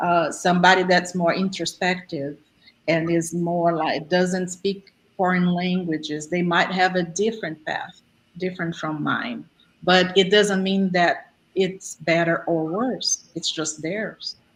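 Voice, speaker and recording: At a fairly slow pace, a woman speaks with a non-native accent and a fairly low pitch. Her intonation stays monotone and flat. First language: not English. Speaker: speaker on existential programming. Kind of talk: online group talk, Q&A.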